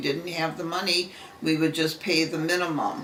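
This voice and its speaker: Over noticeable background noise and audible room echo, a speaker with an American accent keeps a fairly even intonation. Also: woman. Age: 70s. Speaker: retired secretary. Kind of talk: interview.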